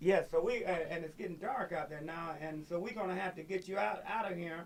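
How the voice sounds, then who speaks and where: Noticeable background noise sits under talking that moves at a fairly quick pace. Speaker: radio talk show host. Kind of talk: radio interview host.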